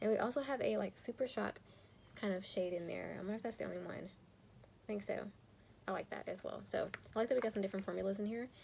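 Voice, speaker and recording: A soft-spoken woman is talking. Her pace is very fast. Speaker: teacher and beauty youtuber. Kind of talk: casual chat. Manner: quiet, soft-spoken.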